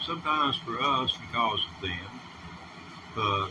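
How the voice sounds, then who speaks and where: Over noticeable background noise, a man with a Southern US accent talks very slowly with ordinary pitch variation. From US South. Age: 60s. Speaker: livestreamer. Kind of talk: casual livestream talk. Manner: halting.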